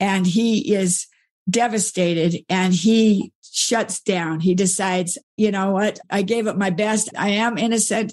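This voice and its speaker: A plain, everyday voice moves at a fairly slow pace with fairly even intonation and very even loudness, set against a quiet background. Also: woman, medium pitch for a woman. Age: 60s. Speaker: author and speaker. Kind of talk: interview conversation.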